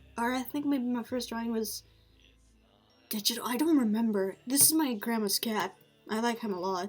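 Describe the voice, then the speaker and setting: Pitch variation is ordinary here. Music sits in the background. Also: woman. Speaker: amateur artist, vlogger. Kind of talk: casual show-and-tell monologue. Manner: halting, many filler words.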